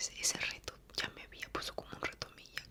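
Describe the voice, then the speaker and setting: Through noticeable background noise, a man whispers in a relaxed tone at a fairly quick pace. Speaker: ASMR content creator. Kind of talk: ASMR storytime, soft-spoken personal story to camera. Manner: soft-spoken, relaxed.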